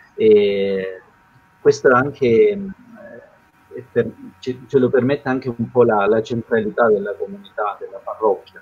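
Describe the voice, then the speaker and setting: A man talks at a fairly slow pace. His speech has long, frequent pauses. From southern Italy (Calabria). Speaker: missionary priest. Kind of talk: testimony. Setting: video call. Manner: halting. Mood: serious, reflective. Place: home room. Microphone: video call.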